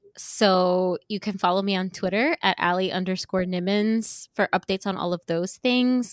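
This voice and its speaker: A woman with an American accent in a normal speaking voice, medium in pitch, at a moderate pace with fairly even intonation, on a very clean recording with a silent background. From New York, Yonkers. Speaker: web developer and voice performer. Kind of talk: casual interview.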